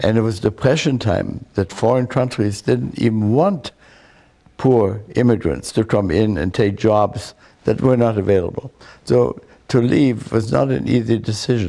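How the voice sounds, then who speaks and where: A man with a German accent speaks at a moderate pace in a fairly low voice with a dark, mellow tone. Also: ordinary pitch variation, very even loudness. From Germany. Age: 80s+. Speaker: war veteran and memoir author. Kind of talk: interview testimony. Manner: halting.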